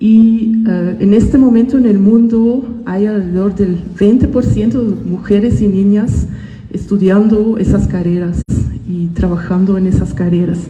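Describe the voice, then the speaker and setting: A woman speaks fairly slowly at medium pitch with fairly even intonation. Audible room echo and noticeable background noise surround her. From Belgium (Ghent, Flanders). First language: Dutch (speaking Spanish). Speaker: botanist. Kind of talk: school talk to students. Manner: hesitant, with fillers.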